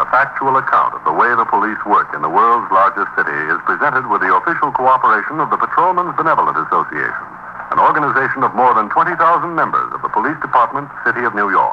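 Noticeable background noise is heard throughout. Over it, a man's speech goes very fast. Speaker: radio announcer. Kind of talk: announcer narration and credits. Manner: formal, crisp announcer delivery.

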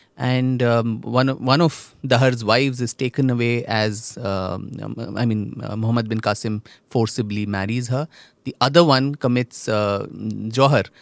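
A man's normal speaking voice at medium pitch, fairly slow and fairly even in intonation, on a very clean recording with a silent background. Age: young. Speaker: author and historian. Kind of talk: interview. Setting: studio.

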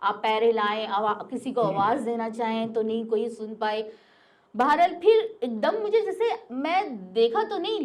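A woman talks with very wide swings in pitch. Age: old. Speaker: storyteller sharing paranormal experience. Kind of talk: personal testimony.

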